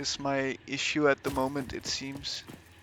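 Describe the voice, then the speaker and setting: A man speaks at a very slow pace with a Danish accent. Music plays in the background. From Denmark. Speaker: gaming streamer. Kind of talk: live gameplay commentary. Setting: livestream. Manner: hesitant, many fillers.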